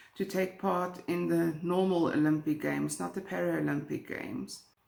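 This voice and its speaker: With a South African accent, a woman talks at a moderate pace. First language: Afrikaans. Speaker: true crime YouTuber. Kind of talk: true crime storytelling.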